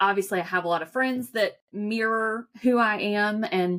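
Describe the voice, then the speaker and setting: A woman with a strong Southern US accent speaks at a medium pitch with ordinary pitch variation. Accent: thick accent, US Southern (y'all). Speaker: financial advisor. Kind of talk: podcast interview. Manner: casual.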